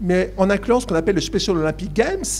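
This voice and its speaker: There is noticeable background noise while this man talks. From eastern France, Besançon. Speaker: university academic, Olympic studies. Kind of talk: panel discussion Q&A. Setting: conference with live audience. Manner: hesitant, many fillers.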